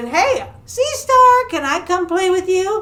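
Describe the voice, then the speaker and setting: The voice is squeaky. It is put on as a character voice. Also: woman, extremely high pitch for a woman, fairly slow pace. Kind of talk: bedtime story. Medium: read story.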